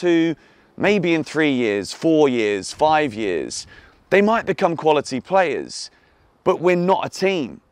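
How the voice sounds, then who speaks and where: With an English accent, a man speaks fairly slowly in a fairly high pitch with lively intonation. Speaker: football YouTuber and club fan. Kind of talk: fan video rant. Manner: animated; exasperated.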